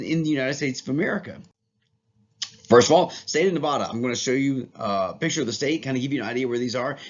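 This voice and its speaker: A man talks at a very fast pace in an enthusiastic tone. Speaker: teacher. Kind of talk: lecture. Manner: casual, enthusiastic.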